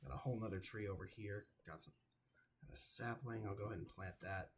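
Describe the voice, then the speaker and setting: Putting on a character voice, a man talks fairly quickly in a raspy, fairly low pitch with ordinary pitch variation. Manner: stuttering, tired.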